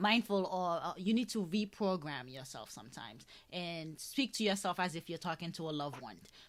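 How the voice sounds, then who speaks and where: With a Haitian accent, a woman speaks at medium pitch with lively intonation in a very clean recording with a silent background. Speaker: podcast host. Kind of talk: interview conversation. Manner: halting, many fillers.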